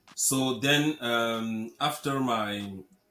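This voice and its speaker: A man with a French accent speaks at a medium pitch with ordinary pitch variation. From Cameroon. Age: 30s. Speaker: real estate investor. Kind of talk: interview. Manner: halting, many repetitions.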